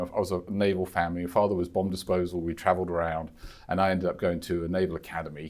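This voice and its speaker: On a very clean recording with a silent background, a man speaks at a very fast pace. He has a West London accent. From England, West London. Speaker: insurance executive, former royal protection officer. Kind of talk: podcast interview. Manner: halting, many fillers and repetitions.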